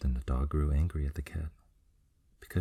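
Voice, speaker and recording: Soft-spoken and somewhat breathy, a man speaks at a very deep, low pitch in a dark, mellow tone with fairly even intonation. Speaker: ASMR storyteller. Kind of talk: sleep story.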